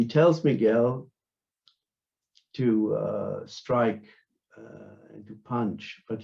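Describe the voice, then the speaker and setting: In a German accent, a man speaks at a medium pitch with a dark, mellow tone that is a little breathy. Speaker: philosopher and martial artist. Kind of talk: academic conference talk. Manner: halting, many fillers.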